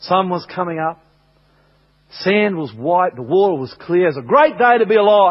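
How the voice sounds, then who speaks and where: A man with an Australian accent speaks in a high pitch at a moderate pace, with very wide pitch swings and long, frequent pauses. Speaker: pastor. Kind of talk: sermon. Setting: church.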